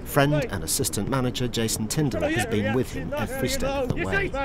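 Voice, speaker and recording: This man talks at a fairly quick clip. Noticeable noise sits in the background. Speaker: documentary narrator. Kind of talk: documentary narration.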